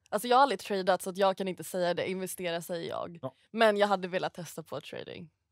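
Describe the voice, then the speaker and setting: Speaking at a very fast pace with hardly any pauses, a woman shows big swings in loudness and ordinary pitch variation, in a dry sound with no echo against a quiet background. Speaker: stockbroker; podcast guest. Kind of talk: casual podcast chat. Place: studio.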